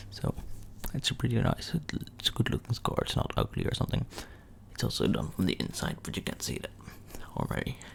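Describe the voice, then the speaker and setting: A soft-spoken man talks at a fairly quick pace with long, frequent pauses. Noticeable background noise runs underneath. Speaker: ASMR creator. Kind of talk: ASMR story time.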